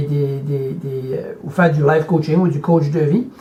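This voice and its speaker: A man speaks in an Acadian accent. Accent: New Brunswick (Acadian) French. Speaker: motivational speaker and life coach. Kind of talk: motivational video message. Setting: hotel room. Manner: halting, repeats words.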